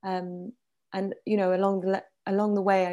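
Her voice is dark and mellow, at a medium pitch. The woman keeps a moderate pace. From France (Paris), Iranian-British family. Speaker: documentary producer. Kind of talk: interview. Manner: halting.

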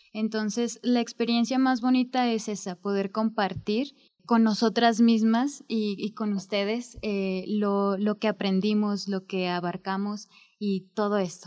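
In a very clean recording with a silent background, a woman uses a normal speaking voice, fairly high in pitch, with fairly even intonation. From Mexico, Zacatecas. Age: 20s. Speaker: history student, essay prize winner. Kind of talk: interview.

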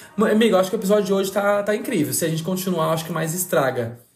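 Very fast, animated speech from a man, with audible room echo. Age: 20s. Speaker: podcast host. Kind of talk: casual chat.

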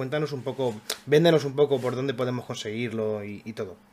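Speaking at a fairly quick pace, a man uses an unremarkable speaking voice of medium pitch with ordinary pitch variation. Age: 20s. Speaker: podcast host. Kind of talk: casual chat.

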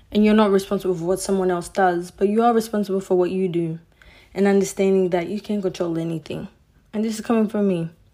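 A woman at medium pitch speaks very fast with a passionate, dark and mellow tone. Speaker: podcast host. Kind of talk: solo podcast monologue. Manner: fast talker, passionate; animated, loud when excited.

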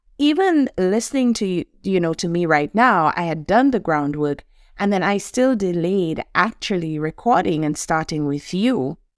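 A woman with a Saint Lucian accent speaks at a moderate pace with fairly low pitch and lively intonation. She leaves hardly any pauses, and the sound is dry and close with no echo. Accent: Saint Lucian Caribbean English. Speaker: podcast host and life coach. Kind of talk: solo podcast monologue. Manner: light-hearted, humorous, chatty.

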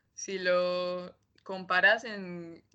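A woman speaks in a Rioplatense accent. Her pitch is medium. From Argentina, Buenos Aires. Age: 20s. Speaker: master's student. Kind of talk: interview.

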